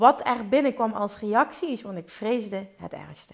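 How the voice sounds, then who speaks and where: A woman speaks at a fairly high pitch in a somewhat breathy voice. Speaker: podcast host and business coach. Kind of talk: solo podcast monologue. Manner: fluent, easy speaking.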